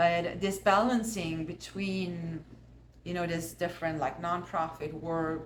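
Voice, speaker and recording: A woman's very deep, low voice with fairly even intonation and audible room echo. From Austria. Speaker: artist and musician. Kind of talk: casual chat. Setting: art studio.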